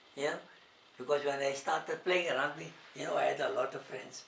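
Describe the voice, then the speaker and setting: Over noticeable background noise, a man talks in a fairly high voice. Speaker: grandfather interviewed about his life. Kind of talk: interview answer.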